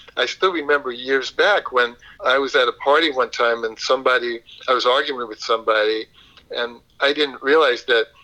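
With a New York accent, a man speaks at a fairly quick pace in a medium pitch. His tone is bright and sharp, with ordinary pitch variation. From Brooklyn, New York. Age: 70s. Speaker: yoga instructor and counselor, blind Air Force veteran. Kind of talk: interview conversation.

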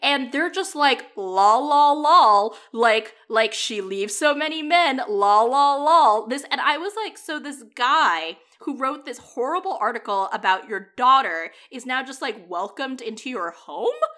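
Speaking at a fairly slow pace, a woman uses a raised, projected voice at a high pitch, with a bright, sharp tone, very wide pitch swings and big swings in loudness. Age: 30s. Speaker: podcast co-host reviewing romantic comedies. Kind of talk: casual chat.

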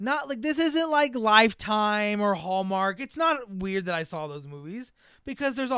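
A man with a bright, sharp tone talks at a fairly quick pace with lively intonation. The recording is very clean, with a silent background. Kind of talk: casual chat.

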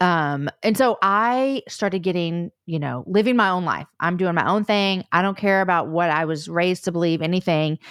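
A woman with a plain, everyday voice and fairly low pitch talks at a moderate pace, with ordinary pitch variation and hardly any pauses. The recording is very clean with a silent background, dry and close with no echo. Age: 40s. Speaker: podcast host and author. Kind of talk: testimony.

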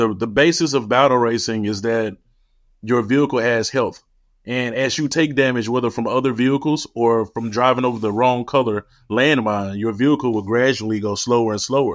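In a Memphis accent, the speaker goes at a fairly quick pace with fairly even intonation against a quiet background. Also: man, medium pitch for a man. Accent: Southern US (Memphis). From US South, Memphis, Tennessee. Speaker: tech entrepreneur, company founder. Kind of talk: interview.

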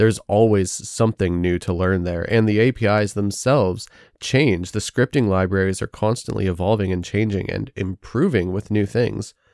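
An ordinary speaking voice belonging to a man, fairly low in pitch with ordinary pitch variation, runs at a moderate pace with hardly any pauses, captured in a very clean, dry, close recording with no echo and a silent background. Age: 30s. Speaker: indie game developer and podcast host. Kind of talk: solo podcast monologue.

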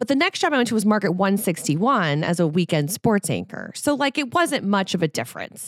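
A woman's animated voice with very wide pitch swings, a fairly quick pace and hardly any pauses, in a dry, close sound with no echo. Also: medium pitch for a woman. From New Orleans, Louisiana. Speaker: sports reporter. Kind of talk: casual chat. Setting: studio.

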